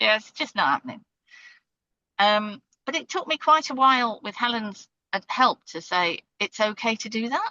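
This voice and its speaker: A woman with a British accent, fairly high in pitch, at a moderate pace. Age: 60s. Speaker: podcast guest, strategy and startup professional. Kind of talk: casual interview conversation. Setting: parked in a car on a side street, remote call.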